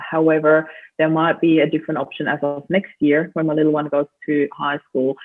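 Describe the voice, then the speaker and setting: A woman speaks with a very deep, low pitch. Her pace is moderate. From Austria. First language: German. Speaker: grief coach and group founder. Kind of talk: interview. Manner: animated.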